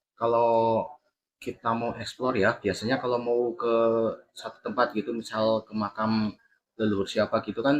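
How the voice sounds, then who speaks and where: A man with a strong Javanese accent, medium pitch, relaxed tone and monotone, flat intonation, at a moderate pace with big swings in loudness. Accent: Javanese, medok. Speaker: paranormal content creator. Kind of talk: interview. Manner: casual, relaxed.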